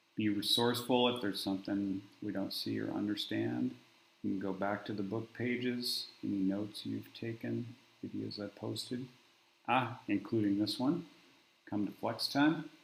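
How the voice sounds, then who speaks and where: A soft-spoken man at a moderate pace, with audible room echo. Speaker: math teacher. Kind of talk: tutorial. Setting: garage classroom.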